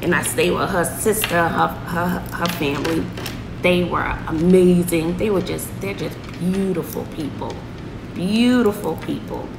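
A woman talks at a fairly slow pace with ordinary pitch variation. Noticeable background noise is present. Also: fairly low pitch for a woman. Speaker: vlogger. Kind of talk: casual vlog chat. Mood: warm, fond storytelling. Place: home room. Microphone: phone near.

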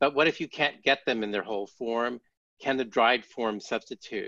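Against a quiet background, a man with a General American accent talks at a moderate pace in a bright, sharp tone. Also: dry sound with no echo. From United States. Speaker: physician and culinary medicine expert; panelist. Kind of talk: panel discussion. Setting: video call. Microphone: video call.

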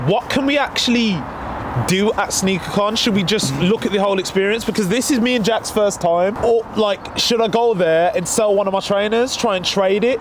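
At a moderate pace, a man with a high pitch and ordinary pitch variation speaks in a dry sound with no echo, against noticeable background noise. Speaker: sneaker vlogger. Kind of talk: casual vlog chat. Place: street.

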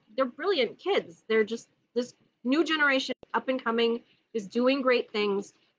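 Loud and high-pitched, a woman with an American accent uses lively intonation against a quiet background. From Minnesota. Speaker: neighborhood council candidate. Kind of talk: casual chat. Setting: outdoors, backyard live stream. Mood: passionate, earnest. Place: garden. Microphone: phone near.

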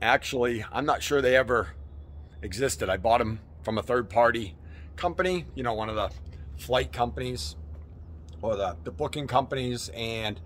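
A man talks at a moderate pace with vocal fry, very wide pitch swings, and long, frequent pauses. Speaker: travel vlogger. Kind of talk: casual vlog chat. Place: street. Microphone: phone near.

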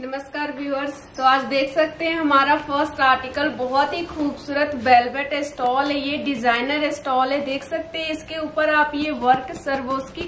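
At a moderate pace, a woman with a fairly bright tone and fairly even intonation speaks in a high pitch, with faint background noise.

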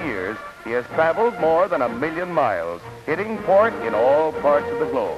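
Clear music plays in the background. The speech runs at a moderate pace. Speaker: newsreel narrator. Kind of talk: 1940s newsreel narration. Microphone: old recording.

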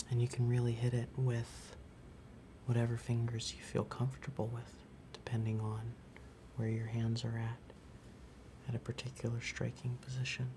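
A man speaks at a moderate pace with long, frequent pauses. His intonation is flat and monotone over noticeable background noise. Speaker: music store demonstrator. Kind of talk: tutorial. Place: shop.

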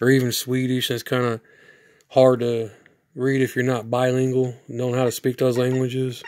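A man's monotone, flat delivery at medium pitch and a moderate pace. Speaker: retro gaming youtuber. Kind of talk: product review. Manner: casual, rambling.

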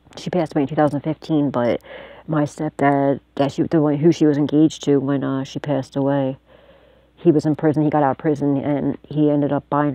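A woman's very deep, low voice, flat and monotone, at a fairly quick pace, dry with no echo against a quiet background. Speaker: psychic tarot reader and video channel host. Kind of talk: tarot reading monologue to camera. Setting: self-recorded video at home. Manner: casual, profane and laughing often. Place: home room. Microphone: phone near.

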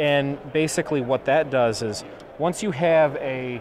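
A man's medium-pitched, slightly mellow voice at a fairly slow pace with ordinary pitch variation and faint background noise

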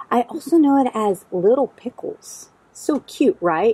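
A woman's somewhat breathy, dark, mellow voice with very wide pitch swings, dry and without echo. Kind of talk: tutorial. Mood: cheerful, enthusiastic. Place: garden.

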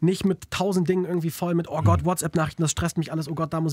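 Against a quiet background, a man speaks at a fairly high pitch with a dry sound and no echo. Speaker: radio host; radio host interviewer. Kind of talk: interview; channel outro. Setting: studio. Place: studio. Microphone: studio mic.

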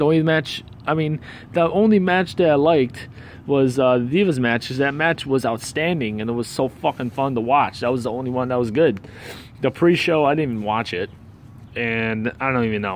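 A man speaks in an angry tone at a fairly quick pace with ordinary pitch variation, the sound dry with no echo and light background noise behind him. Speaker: wrestling fan video reviewer. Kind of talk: angry rant review. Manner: angry, profane, venting; rambling, disfluent, stumbling. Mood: annoyed, ranting. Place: street. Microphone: phone near.

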